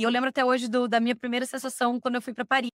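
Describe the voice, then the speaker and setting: A woman with a fairly high pitch is heard with a dry, close sound with no echo. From Brazil, Curitiba (Paraná). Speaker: expatriate interviewee. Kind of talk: casual interview chat, personal storytelling. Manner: animated.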